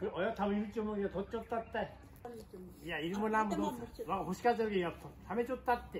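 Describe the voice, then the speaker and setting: Against noticeable background noise, a man with a Nagasaki accent talks at a very fast pace with a high pitch and ordinary pitch variation. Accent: Goto dialect. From Goto Islands, Nagasaki, Japan. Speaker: fisherman. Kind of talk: casual talk to camera. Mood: teasing, exasperated. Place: garden. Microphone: camera far.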